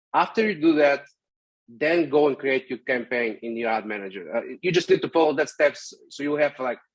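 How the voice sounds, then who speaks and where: Here a man speaks in a fairly high pitch with ordinary pitch variation. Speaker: digital ads specialist. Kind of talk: tutorial. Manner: fast; hesitant with many fillers.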